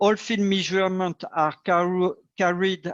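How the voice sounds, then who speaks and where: A man with a French accent and a high pitch speaks at a fairly slow pace, the sound dry and close with no echo over a quiet background. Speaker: agtech company director. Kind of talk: panel discussion. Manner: halting.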